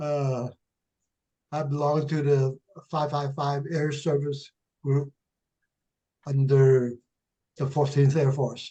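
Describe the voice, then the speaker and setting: A man talks very slowly with long, frequent pauses, his voice somewhat breathy and fairly high in pitch. The tone is dark and mellow, the intonation monotone and flat. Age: 90s. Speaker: war veteran. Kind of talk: casual chat.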